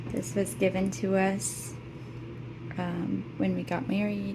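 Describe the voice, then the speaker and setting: A woman talks over noticeable background noise. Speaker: lifestyle vlogger, stay-at-home mom. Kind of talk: casual home vlog. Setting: at home, closet tour.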